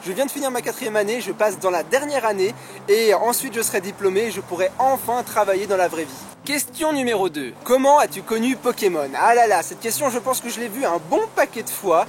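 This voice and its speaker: A man's high-pitched voice with lively intonation at a fairly quick pace, amid noticeable background noise. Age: 20s. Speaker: YouTuber, Pokémon card collector. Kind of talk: casual Q&A vlog. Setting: outdoors in a park.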